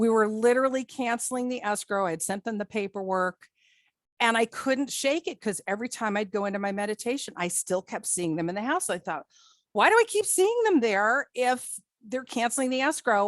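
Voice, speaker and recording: With an American accent, a woman speaks in an ordinary speaking voice, fairly high in pitch with lively intonation, recorded with a dry, close sound with no echo against a quiet background. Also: fairly quick pace. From New Jersey. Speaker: psychic. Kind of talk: guest talk on a video call.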